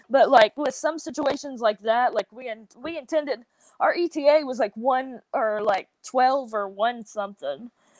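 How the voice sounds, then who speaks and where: A woman with a Southern US accent speaks at a high pitch and a moderate pace, with ordinary pitch variation and big swings in loudness. The sound is dry and close, with no echo. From US South. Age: 20s. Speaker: professional wrestler. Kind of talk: podcast interview.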